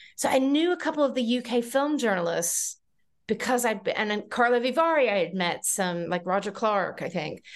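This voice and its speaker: Her pitch fairly high and swinging very widely, a woman speaks at a fairly quick pace against a quiet background. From North Carolina, US South. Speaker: journalist and film festival consultant. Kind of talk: interview.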